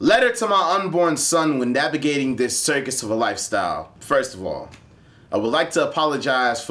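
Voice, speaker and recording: A man's unremarkable speaking voice with an American accent, lively intonation, and a fairly quick pace. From Akron, Ohio. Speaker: spoken word poet. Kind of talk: slam poetry performance.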